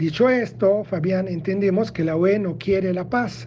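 Noticeable background noise accompanies a man's high-pitched voice. His intonation is lively. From Italy. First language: Italian (speaking Spanish). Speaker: historian, political analyst. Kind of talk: prepared commentary.

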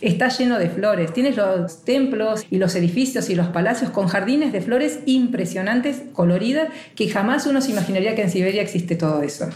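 In a room with audible echo and noticeable background noise, a woman of medium pitch speaks at a fairly quick pace with hardly any pauses, very even loudness and lively intonation. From Argentina. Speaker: travel blogger. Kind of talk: interview.

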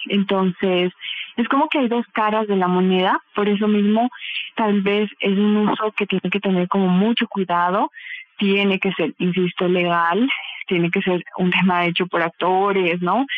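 Loudness stays very even at a fairly slow pace, with ordinary pitch variation and noticeable background noise. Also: woman, medium pitch for a woman. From Bolivia. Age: 30s. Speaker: psychotherapist and clinical sexologist. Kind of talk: interview answers.

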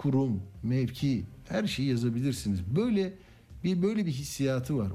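Somewhat breathy and dark, mellow in tone, a man's medium-pitched voice moves at a fairly slow pace. Audible room echo surrounds it. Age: 60s. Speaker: radio news host. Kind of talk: radio talk show.

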